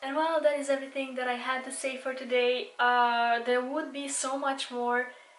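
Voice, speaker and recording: High-pitched speech from a woman at a moderate pace, fairly even in intonation, with audible room echo. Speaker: beauty vlogger. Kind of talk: casual monologue.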